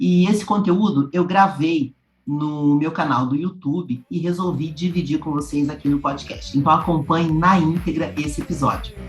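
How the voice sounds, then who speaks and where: Hardly pausing, a woman speaks at a moderate pace in a very deep, low pitch for a woman with ordinary pitch variation. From Brazil, São Paulo. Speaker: podcast host and radio announcer. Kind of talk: podcast intro.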